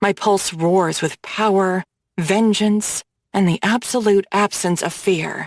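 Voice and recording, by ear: A natural-voiced read-aloud with fairly even intonation plays over a quiet background.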